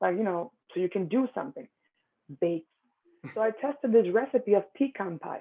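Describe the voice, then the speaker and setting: Speaking with a Spanish accent, a woman keeps a moderate pace and a fairly high pitch, with lively intonation and long, frequent pauses. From Dominican Republic. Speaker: pastry business owner. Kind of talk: interview.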